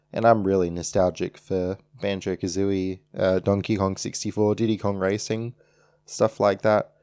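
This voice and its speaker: A man with an Australian accent speaks at a moderate pace in a dark, mellow tone with fairly low pitch and monotone, flat intonation. The recording is very clean, with a silent background. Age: 20s. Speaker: podcast host. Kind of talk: solo podcast monologue.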